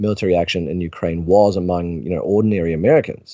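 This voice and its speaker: This man, with a New Zealand accent, talks at a fairly quick pace. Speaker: journalist. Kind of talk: interview.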